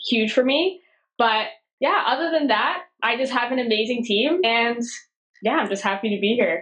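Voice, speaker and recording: A woman with a Canadian accent, fairly high-pitched and lively in intonation, at a moderate pace and very even loudness. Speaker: media company founder. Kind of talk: podcast interview. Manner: casual, animated.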